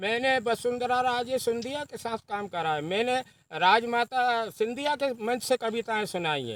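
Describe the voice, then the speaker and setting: Recorded with a dry, close sound and no echo, a man speaks at an extremely high pitch with ordinary pitch variation. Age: 70s. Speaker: farmer and senior party politician, poet. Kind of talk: interview.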